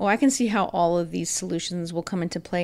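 The recording is very clean, with a silent background. A woman with an unremarkable speaking voice talks at a fairly quick pace, medium pitch and ordinary pitch variation. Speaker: school district podcast host. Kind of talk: interview podcast.

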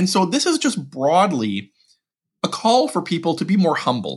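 A man's voice with vocal fry and very wide pitch swings against a quiet background. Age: 40s. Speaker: budget policy expert. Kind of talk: interview. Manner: halting, frequent repetitions.

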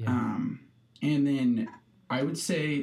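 In a Midwestern US accent, a man speaks at a very slow pace with a medium pitch and ordinary pitch variation. His tone is dark and mellow, and the room echo is audible. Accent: US Midwest. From Nebraska (Hastings). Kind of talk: casual interview.

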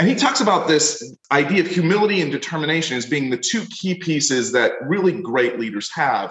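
Pitched fairly high, a man talks at a fairly quick pace with hardly any pauses and very wide pitch swings. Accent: American. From Pennsylvania, US (Wilkes-Barre). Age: 40s. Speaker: leadership professor and author. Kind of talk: interview podcast.

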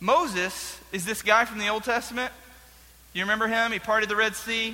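Fairly even in intonation, the clip is a natural reading voice.

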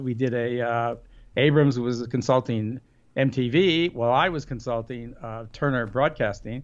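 A man speaks at a medium pitch and a moderate pace. He has an ordinary speaking voice. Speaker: radio consultant and author. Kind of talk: casual interview chat. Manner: humorous, joking.

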